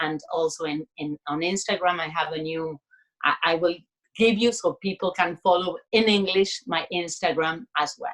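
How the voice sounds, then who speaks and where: In a Spanish accent, a woman with fairly low pitch and ordinary pitch variation speaks at a moderate pace, the sound dry and close with no echo. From Argentina, Buenos Aires. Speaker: artist and creativity coach. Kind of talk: casual interview chat.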